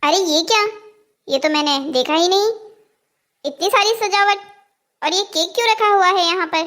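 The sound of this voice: In a squeaky, cartoonish character voice, a woman talks at a fairly quick pace with an extremely high pitch and lively intonation.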